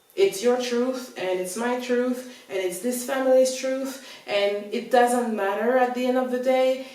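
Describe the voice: This woman's voice is fairly high and slightly mellow, with ordinary pitch variation. She speaks at a fairly slow pace with few pauses, amid strong room echo.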